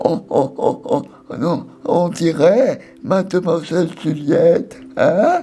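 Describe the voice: A woman's put-on character voice at medium pitch, delivered at a very slow pace over clear background music.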